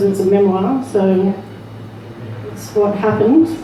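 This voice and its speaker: Woman's fairly high voice at a fairly slow pace, with noticeable background noise. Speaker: spoken word poet. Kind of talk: memoir reading. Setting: live open mic venue.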